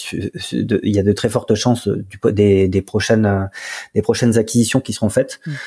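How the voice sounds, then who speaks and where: Fairly even intonation marks this man's fairly low-pitched voice, which has a dark, mellow tone. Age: 30s. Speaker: startup co-founder. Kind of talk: interview. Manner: halting, many fillers and repetitions.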